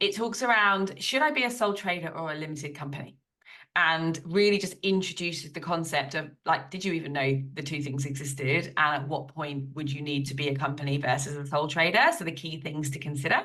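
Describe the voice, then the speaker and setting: With a British accent, a woman speaks at a fairly quick pace in a very deep, low voice with a bright, sharp tone and ordinary pitch variation. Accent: British, fully retained. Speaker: business coach and accountant. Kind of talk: podcast interview. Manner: animated.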